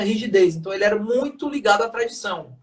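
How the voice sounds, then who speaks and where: A man talks at a fairly quick pace. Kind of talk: lecture. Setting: live stream.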